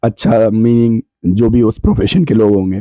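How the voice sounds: A man's voice with a dark, mellow tone. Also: dry, close sound with no echo.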